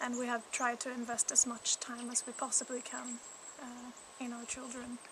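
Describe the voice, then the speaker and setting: A woman talks at a moderate pace with a high pitch and monotone, flat intonation. Her loudness swings widely, and there is noticeable background noise. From Canada. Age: 30s. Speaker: mother appealing for support. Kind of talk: personal testimony.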